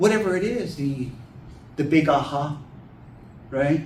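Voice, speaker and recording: With an American accent, a man talks at a fairly high pitch and a moderate pace, his tone animated and his intonation lively, with audible room echo around him. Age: 50s. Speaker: children's book author. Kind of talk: talk to a writers' group. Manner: animated, folksy.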